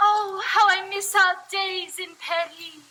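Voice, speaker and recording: A put-on character voice, squeaky and extremely high-pitched, speaks at a fairly slow pace in a flat monotone. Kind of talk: comic overacting. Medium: puppet show.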